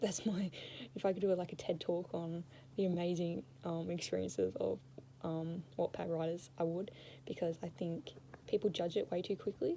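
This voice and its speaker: At a moderate pace, a woman with a fairly low, dark, mellow voice uses lively intonation and vocal fry. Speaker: vlogger. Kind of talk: casual chat. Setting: indoors under a blanket fort. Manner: rambling, tangential.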